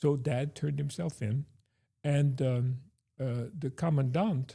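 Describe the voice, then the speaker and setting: The voice belongs to a man with fairly high pitch and a somewhat breathy quality. His tone is dark and mellow. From Belgium. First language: Dutch/Flemish. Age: 70s. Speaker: theology professor. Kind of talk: testimony. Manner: halting, many fillers.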